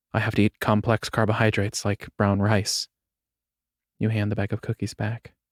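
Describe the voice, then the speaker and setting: A man talks at a moderate pace in a fairly low pitch, monotone and flat. The very clean recording has a silent background and a dry, close sound with no echo. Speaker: audiobook narrator. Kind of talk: short story audiobook reading.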